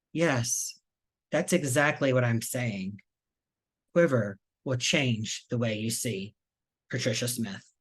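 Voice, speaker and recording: Against a quiet background, a man speaks at a fairly slow pace and medium pitch with ordinary pitch variation. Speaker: reading series host. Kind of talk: event introduction.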